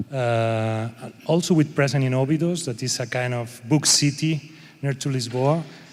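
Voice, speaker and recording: A man is speaking. He has a Spanish accent. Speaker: panel moderator. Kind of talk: panel discussion. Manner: halting.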